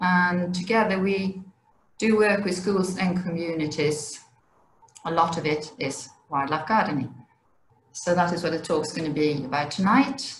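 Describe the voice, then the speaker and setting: A woman with a fairly low voice speaks at a moderate pace with ordinary pitch variation, leaving long, frequent pauses amid audible room echo. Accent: Swedish. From Sweden. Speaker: wildlife education officer. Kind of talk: presentation. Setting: video call.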